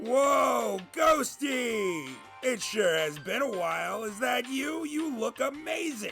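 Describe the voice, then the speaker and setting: Over clear background music, a man projects a raised, put-on character voice at an extremely high pitch, speaking very slowly. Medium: audio drama. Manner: wisecracking, sardonic.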